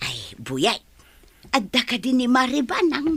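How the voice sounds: A woman puts on a character voice, pitched high with big pitch swings. Her tone is fairly bright with a slightly husky edge, and she speaks at a fairly slow pace.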